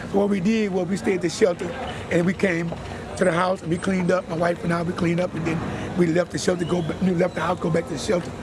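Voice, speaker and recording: Over noticeable background noise, a man with an American accent speaks very fast in a high, monotone voice with flat intonation. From Galveston, Texas. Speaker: hurricane survivor. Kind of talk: street interview.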